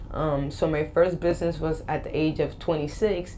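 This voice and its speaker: A woman with an American accent and a very deep, low pitch at a moderate pace, with audible room echo. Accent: slight Boston and Spanish. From Boston, US. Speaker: life coach and motivational speaker. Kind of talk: interview. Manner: animated.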